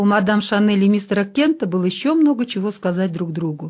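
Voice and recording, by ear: The intonation here is lively. It comes from reading aloud in a natural voice.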